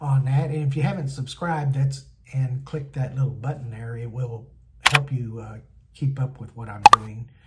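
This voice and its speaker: Against noticeable background noise, a man speaks at a moderate pace with fairly even intonation. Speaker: van build vlogger. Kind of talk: casual vlog chat. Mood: relaxed, looking forward to trip. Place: home room. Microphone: phone near.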